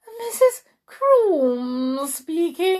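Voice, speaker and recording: This put-on character voice sits at an extremely high pitch and swings very widely up and down. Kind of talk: very posh, affected telephone voice. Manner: ridiculous, exaggerated poshness.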